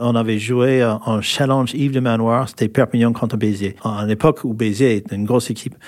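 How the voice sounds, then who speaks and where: A man in an American accent speaks at a medium pitch and a fairly quick pace. His intonation is fairly even, with hardly any pauses. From California, US. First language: English (speaking French). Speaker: former rugby player. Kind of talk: interview. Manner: halting.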